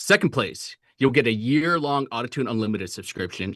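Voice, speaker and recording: A man speaks at a medium pitch with an energetic tone. The sound is dry and close with no echo, over a quiet background. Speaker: brand representative hosting livestream. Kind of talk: livestream announcement. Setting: livestream. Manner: fast.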